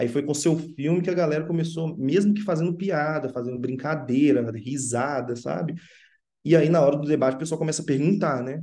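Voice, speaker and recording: A man's fairly high voice with a dark, mellow tone, ordinary pitch variation and a fairly quick pace. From Sabará, Minas Gerais, Brazil. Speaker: film director. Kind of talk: interview.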